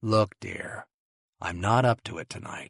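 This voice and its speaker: A man speaks in a put-on character voice, raspy and at medium pitch, at a fairly slow pace. The sound is dry and close, with no echo. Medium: read story. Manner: dry, restrained.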